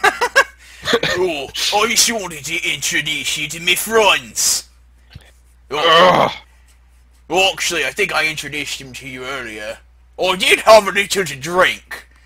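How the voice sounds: Using a put-on character voice, a man speaks high for a man, raspy and strained, at a fairly slow pace with long, frequent pauses.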